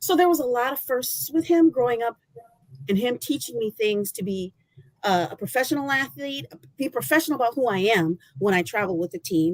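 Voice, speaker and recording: Loud, very wide pitch swings from a woman with an American accent, a dry, close sound with no echo. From Michigan. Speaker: former college athlete. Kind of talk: testimony.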